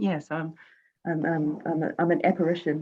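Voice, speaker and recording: Against a quiet background, a woman speaks with a New Zealand accent. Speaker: quilt-along participant. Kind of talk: casual chat. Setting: video call. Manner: halting.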